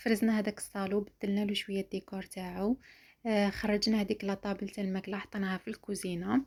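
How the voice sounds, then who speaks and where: A somewhat breathy woman with an Algerian accent, very fast pace and monotone, flat intonation on a very clean recording with a silent background. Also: medium pitch for a woman. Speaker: lifestyle vlogger. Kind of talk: casual vlog talk to viewers.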